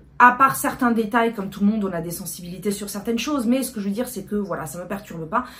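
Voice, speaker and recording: Against noticeable background noise, a woman talks very fast at a fairly high pitch with lively intonation. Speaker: book youtuber. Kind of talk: casual vlog talk. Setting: at home, fan and AC off. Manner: hesitant, many fillers.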